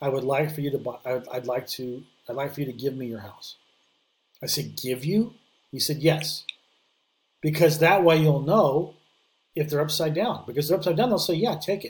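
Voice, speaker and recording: A man, somewhat breathy and fairly high in pitch, at a moderate pace with ordinary pitch variation, big swings in loudness and long, frequent pauses. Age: 50s. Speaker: real estate investor. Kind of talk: podcast interview.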